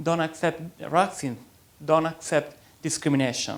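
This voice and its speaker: At a moderate pace, this man speaks with an Italian accent. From Italy. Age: young. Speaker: writer. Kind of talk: interview.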